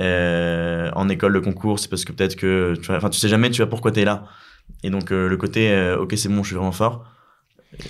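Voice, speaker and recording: At a fairly quick pace, a man with a very deep, low pitch talks with fairly even intonation. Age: 20s. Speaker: eloquence competitor and student. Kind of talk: casual chat. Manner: fast.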